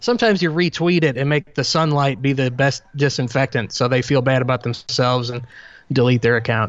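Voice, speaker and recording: Spoken at a fairly quick pace, this is a normal speaking voice with ordinary pitch variation. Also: man, medium pitch for a man. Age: 30s. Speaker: public speaker. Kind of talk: casual chat.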